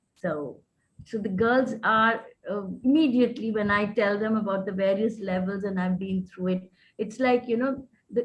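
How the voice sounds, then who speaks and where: At a moderate pace, a woman speaks in a somewhat breathy voice with a fairly high pitch and ordinary pitch variation. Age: 60s. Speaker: menstrual educator. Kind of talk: webinar discussion.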